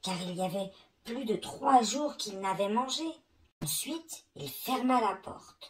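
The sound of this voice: Reading in an unforced voice.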